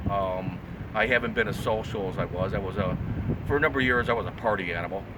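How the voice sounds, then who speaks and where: Speaking very fast with an American accent, a man uses a fairly low pitch and ordinary pitch variation. Audible room echo and noticeable background noise surround him. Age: 60s. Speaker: artist and graphic designer. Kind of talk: casual interview. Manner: halting, many fillers.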